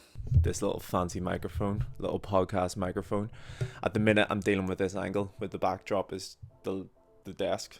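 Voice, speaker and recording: A man speaks with music in the background. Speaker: vlogger and runner. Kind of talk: casual vlog talk to camera. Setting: outdoors on street outside house. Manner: occasionally stumbles over words.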